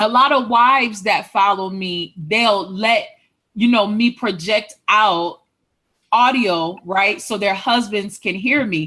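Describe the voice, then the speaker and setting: The voice is loud, with a bright, sharp tone. It moves at a very slow pace with ordinary pitch variation. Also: woman, fairly high pitch for a woman. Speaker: author and relationship coach. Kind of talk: casual chat.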